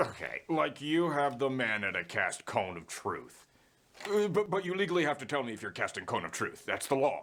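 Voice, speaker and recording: This man uses a put-on character voice with a fairly high pitch. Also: moderate pace. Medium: voice reel. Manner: defensive, stammering.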